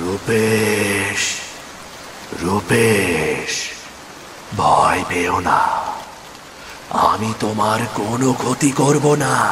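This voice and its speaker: A man uses a cartoonish character voice at a medium pitch. He talks at a very slow pace over clear background noise. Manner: calm, reassuring.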